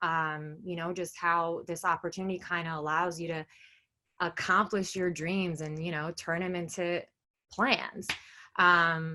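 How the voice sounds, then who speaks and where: Against a quiet background, a woman with a New York accent speaks fairly slowly in a fairly low pitch with a bright, sharp tone. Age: 20s. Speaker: direct sales seller. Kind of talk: business presentation. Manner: casual, filler-heavy.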